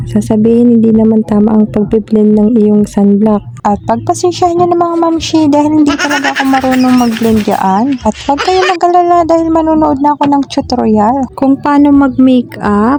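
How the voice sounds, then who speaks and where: A woman at a high pitch and moderate pace, lively in intonation, with very even loudness, hardly any pauses and noticeable background noise. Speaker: vlogger. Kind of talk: vlog voice-over. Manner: casual, chatty.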